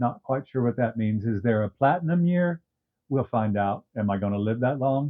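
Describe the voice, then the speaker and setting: An ordinary speaking voice from a man, medium in pitch, with ordinary pitch variation and a moderate pace. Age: 60s. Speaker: YouTube commentator. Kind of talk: casual talk to camera. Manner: wry, humorous.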